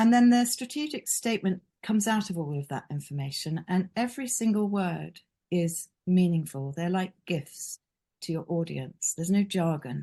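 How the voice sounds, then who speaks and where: Her tone dark and mellow, a woman of medium pitch speaks somewhat breathily at a moderate pace with lively intonation. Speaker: branding consultant. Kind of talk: webinar presentation. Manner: hesitant, many fillers.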